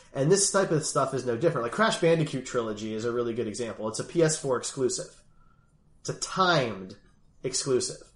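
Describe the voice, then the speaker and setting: At a fairly quick pace, a man speaks at medium pitch with a somewhat breathy sound and very wide pitch swings. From US Northeast (Philadelphia). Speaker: gaming podcast host. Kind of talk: casual chat.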